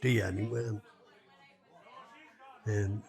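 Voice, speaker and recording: With music in the background, a man with a northwest Irish accent talks at a medium pitch with fairly even intonation. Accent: Irish, north-west rural. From Ireland. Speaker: storyteller. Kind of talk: traditional folk tale telling. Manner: conversational, unhurried.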